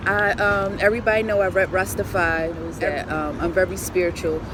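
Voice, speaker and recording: A woman's voice with an American accent at a moderate pace, against noticeable background noise. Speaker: poet and musician. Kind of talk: casual interview. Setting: outdoors in Brooklyn street. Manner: soft-spoken but loud.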